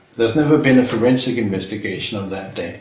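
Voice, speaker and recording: The speaker talks at a very fast pace with a Danish accent and lively intonation. There is audible room echo. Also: man. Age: 60s. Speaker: retired chemistry professor. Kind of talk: interview. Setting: filmed interview.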